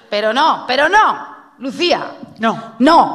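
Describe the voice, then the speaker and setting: Lively intonation marks this woman's speech, heard over noticeable background noise. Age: 40s. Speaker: radio host. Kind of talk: casual chat. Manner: animated.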